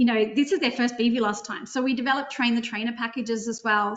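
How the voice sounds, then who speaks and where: In an Australian accent, a woman speaks with a fairly high pitch and fairly even intonation. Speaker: drone consultancy presenter. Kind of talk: webinar software demo. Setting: online webinar with screen sharing. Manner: fast.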